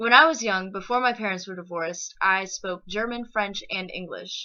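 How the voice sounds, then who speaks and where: A woman speaks at a moderate pace with lively intonation. Her tone is bright and sharp, over a quiet background. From Texas, Lampasas. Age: 20s. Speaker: interpreting student. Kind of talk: personal introduction monologue.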